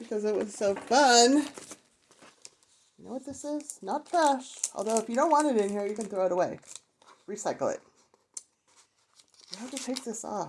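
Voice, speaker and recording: Moderate pace broken by long, frequent pauses. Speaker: crafter showing a handmade journal. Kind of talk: craft flip-through video. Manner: casual and chatty.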